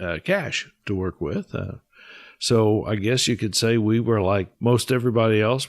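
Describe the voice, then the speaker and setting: A man's medium-pitched voice with ordinary pitch variation at a moderate pace, on a very clean recording over a silent background. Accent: Midwestern US. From Kansas. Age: 60s. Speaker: guest. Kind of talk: interview.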